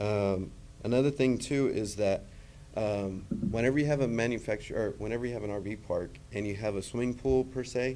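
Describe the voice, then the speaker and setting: A man talks at a fairly quick pace with a medium pitch and a dark, mellow tone. His intonation is fairly even, and the room echo is audible. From Texas, Gregory. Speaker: public commenter. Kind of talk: public comment at council meeting. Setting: city council meeting. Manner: halting, many fillers.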